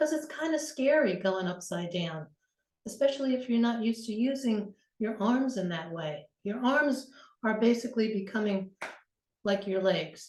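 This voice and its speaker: A woman with a fairly high pitch talks at a moderate pace, her somewhat breathy voice carried by lively intonation. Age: 70s. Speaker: yoga teacher. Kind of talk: tutorial. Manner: casual.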